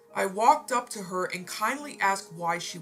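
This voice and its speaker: Music plays behind a woman as she talks fairly slowly. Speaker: story narrator. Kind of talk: reading aloud.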